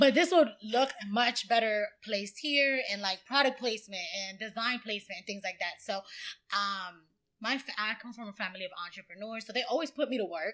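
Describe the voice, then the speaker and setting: With a Dominican accent, a woman speaks at a fairly quick pace. Her tone is bright and sharp, her pitch fairly high, and her intonation lively. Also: big swings in loudness. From Dominican Republic, moved to US at eight. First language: Spanish. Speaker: brand designer and entrepreneur. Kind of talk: podcast interview, casual chat. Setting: in-person studio.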